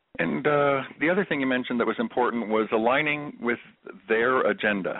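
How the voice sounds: A man with a medium-pitched voice speaks at a fairly quick pace, his pitch varying in an ordinary way.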